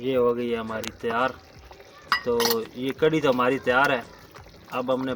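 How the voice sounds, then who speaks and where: Background noise is noticeable as a man talks in a Punjabi accent. His medium-pitched voice is monotone and flat. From Punjab, Pakistan. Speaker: cooking channel host. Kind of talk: cooking tutorial.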